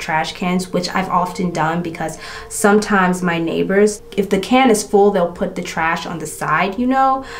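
A woman at a moderate pace, ordinary pitch variation, light background noise behind her. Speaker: beauty and true crime creator. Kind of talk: true-crime narration while doing makeup, retelling a case in a casual storytelling style. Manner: steady, matter-of-fact narration while recounting case facts.

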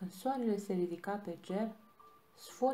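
A natural reading voice carries ordinary pitch variation throughout.

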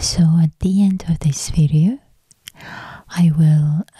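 Soft-spoken whispering, dry with no echo, against a quiet background. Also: woman. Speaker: ASMR creator. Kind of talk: ASMR soft-spoken Chinese lesson. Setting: close-up studio microphone. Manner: soft-spoken, whispery. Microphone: studio mic.

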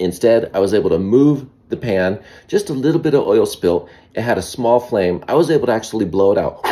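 A man's dark, mellow voice against a quiet background. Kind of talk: casual cooking vlog. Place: kitchen. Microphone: phone near.

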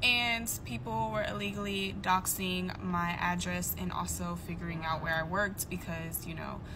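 A woman talks with noticeable background noise behind her. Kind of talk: casual vlog chat. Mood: frustrated but calm. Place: car. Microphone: phone near.

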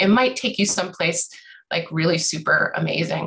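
The voice has a bright, sharp tone and an American accent. Its pitch varies in an ordinary way. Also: woman. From US Northeast. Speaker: bird educator and small business owner; bird educator. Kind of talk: panel introduction. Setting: video call. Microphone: video call.

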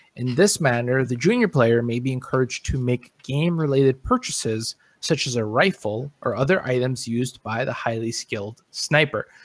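An unremarkable speaking voice from a man at medium pitch, with ordinary pitch variation, a moderate pace and hardly any pauses, dry and close with no echo. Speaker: podcast host. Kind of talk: casual chat. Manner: casual, filler-heavy.

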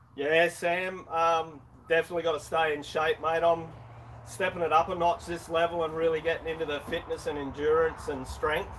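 A man's fairly high voice in an Australian accent, monotone and flat, at a moderate pace over light background noise. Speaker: YouTuber, motorbike channel host. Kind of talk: casual live stream chat. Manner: halting, many fillers. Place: garage. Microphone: camera far.

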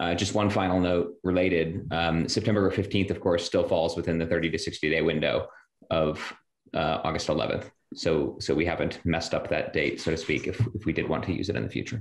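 At a fairly quick pace, a man with a very deep, low voice talks in a quiet background with audible room echo. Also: ordinary pitch variation. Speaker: city council member; council meeting chair or official. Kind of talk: public meeting. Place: home room. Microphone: earbuds.

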